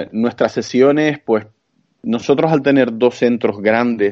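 At a fairly slow pace, a man talks in an unremarkable speaking voice of fairly low pitch with ordinary pitch variation. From Canary Islands (Santa Cruz de Tenerife). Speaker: strength training expert. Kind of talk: interview.

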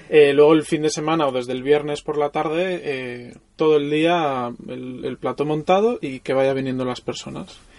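At a moderate pace and with hardly any pauses, a man speaks in a fairly high pitch with ordinary pitch variation. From Mallorca, Spain. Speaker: photographer. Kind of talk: casual interview. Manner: halting, with repetitions.

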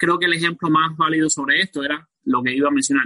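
A man's fairly high, bright, sharp voice at a fairly quick pace, with ordinary pitch variation and a dry, close sound with no echo. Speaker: podcaster and self-employed builder. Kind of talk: panel discussion. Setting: video call.

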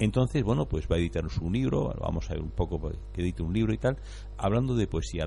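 His dark, mellow tone carries vocal fry. The man's pitch swings very widely. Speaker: radio co-host. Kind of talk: live radio ad reading; casual chat.

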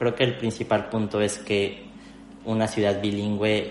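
Over noticeable background noise and audible room echo, a man with a fairly low voice speaks at a moderate pace. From Mexico City. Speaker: video producer and youtuber. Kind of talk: interview conversation.

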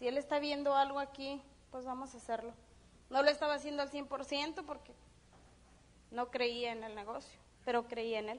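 A high-pitched woman at a moderate pace, with long, frequent pauses, big swings in loudness and fairly even intonation. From Mexico, Durango. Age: 30s. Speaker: network marketing business speaker. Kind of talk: motivational seminar talk. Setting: stage with audience.

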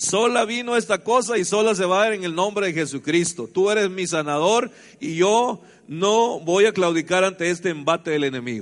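Over a quiet background, a man with a high pitch speaks at a moderate pace with lively intonation. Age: 50s. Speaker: pastor. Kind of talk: sermon.

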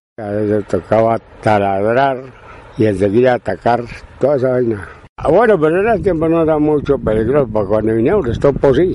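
Lively intonation moves through a dark, mellow tone. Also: man, medium pitch for a man. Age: 80s+. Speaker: retired miner and farmer. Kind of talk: interview. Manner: halting.

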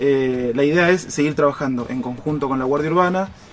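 A man with a fairly high voice talks at a fairly quick pace over noticeable background noise. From Argentina, Rosario (Santa Fe). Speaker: police chief. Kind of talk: radio interview. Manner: halting, with repeated words.

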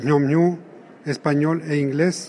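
Noticeable background noise sits behind a man speaking at a very slow pace. His pitch is fairly high and his intonation fairly even. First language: Otomi (Hñähñu) (speaking Spanish). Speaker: writer and literary translator. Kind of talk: interview. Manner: halting.

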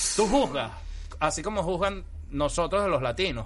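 A man at a moderate pace. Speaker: comedian. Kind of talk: casual chat.

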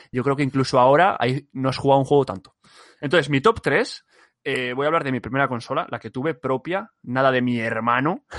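A normal speaking voice from a man, with ordinary pitch variation, a fairly quick pace, and a dry, close sound without echo. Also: medium pitch for a man. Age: 20s. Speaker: podcast co-host. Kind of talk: casual chat.

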